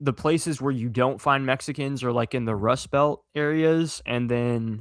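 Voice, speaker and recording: On a very clean recording with a silent background, a man with a slight Southern US accent talks at a moderate pace, his fairly high pitch showing ordinary variation. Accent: slight Southern twang at times. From US Southwest. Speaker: content creator. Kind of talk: casual interview chat.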